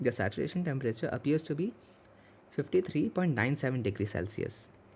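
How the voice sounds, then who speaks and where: A man talks with lively intonation at a medium pitch. There is vocal fry in his voice. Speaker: student tutor. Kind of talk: tutorial. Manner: fast.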